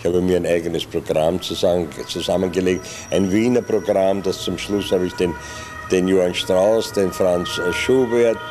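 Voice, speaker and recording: A man with a very deep, low pitch at a moderate pace, with ordinary pitch variation and music in the background. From Vienna, Austria. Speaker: improv theatre actor, puppeteer. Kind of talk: oral history interview answer. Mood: calm reminiscing. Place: studio. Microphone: studio mic.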